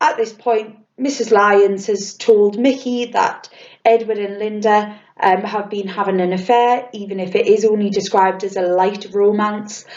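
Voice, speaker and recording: A woman's medium-pitched voice in a British accent, fairly slow and fairly even in intonation. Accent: RP. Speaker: drama teacher. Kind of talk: tutorial. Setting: recorded lesson video. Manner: casual, with fillers.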